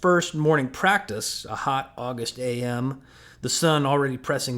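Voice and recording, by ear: Reading aloud in a natural voice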